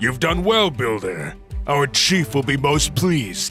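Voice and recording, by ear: A man puts on a cartoonish character voice at a medium pitch. He goes at a fairly slow pace over clear music in the background.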